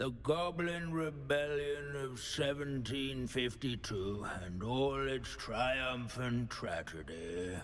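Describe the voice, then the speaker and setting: Very slowly and in a put-on character voice, a man speaks over clear background noise. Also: medium pitch for a man. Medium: video game. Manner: pedantic, droning, absent-minded.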